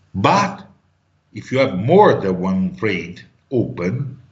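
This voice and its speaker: Very slow speech from a man at a fairly low pitch, with audible room echo. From Italy. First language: Italian. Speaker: trading teacher. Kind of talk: online class.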